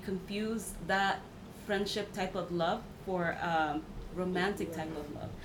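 A woman with an American accent speaks at a moderate pace in a medium pitch, her intonation fairly even. Noticeable background noise and audible room echo fill the recording. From Mexico, then US. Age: 30s. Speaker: podcast guest. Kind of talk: casual chat.

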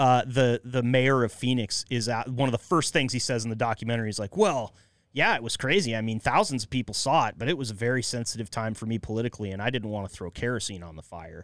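Speaking at a very fast pace with hardly any pauses, a man with an American accent holds a medium pitch with ordinary variation in a very clean recording with a silent background. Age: 30s. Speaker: podcast host. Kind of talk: casual chat.

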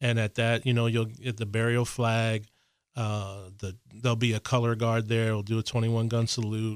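The recording is very clean with a silent background. A man with an ordinary speaking voice at medium pitch talks at a moderate pace. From Harrisburg, Pennsylvania. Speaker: veterans affairs official, Navy veteran. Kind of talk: radio interview.

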